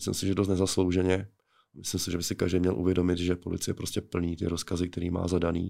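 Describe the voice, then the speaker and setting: In a very clean recording with a silent background, a man speaks at a fairly quick pace. His very deep, low voice is monotone and flat. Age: 40s. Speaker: police officer and MMA fighter. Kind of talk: interview.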